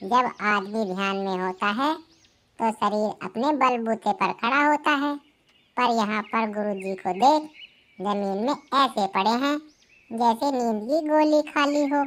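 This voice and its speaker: A woman puts on a cartoonish character voice, fairly high in pitch. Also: fairly slow pace. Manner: bossy, reasoning.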